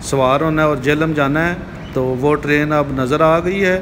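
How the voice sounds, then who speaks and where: A man talks at a fairly slow pace with fairly even intonation over noticeable background noise. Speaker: travel vlogger. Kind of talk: casual vlog chat. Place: station. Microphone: phone near.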